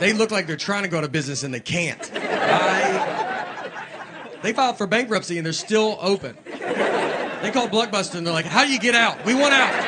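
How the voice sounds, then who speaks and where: Over noticeable background noise, a man speaks at a moderate pace. His voice is high-pitched with lively intonation. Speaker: stand-up comedian. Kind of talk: stand-up comedy storytelling to a live audience. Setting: live theater with audience.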